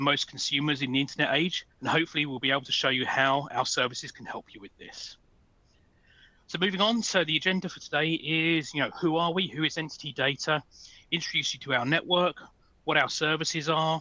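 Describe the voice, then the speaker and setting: A man with a British accent, a fairly high pitch, a bright, sharp tone, a fairly quick pace, ordinary pitch variation and big swings in loudness. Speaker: sales engineering manager. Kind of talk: webinar presentation. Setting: online webinar.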